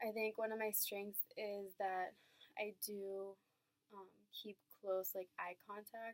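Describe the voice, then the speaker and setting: With a Spanish accent, a woman talks at medium pitch and a fairly slow pace in a monotone, flat intonation, the sound dry and close with no echo. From Venezuela, then US from age ten. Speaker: college student. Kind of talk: class presentation video. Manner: occasional stumbles and fillers.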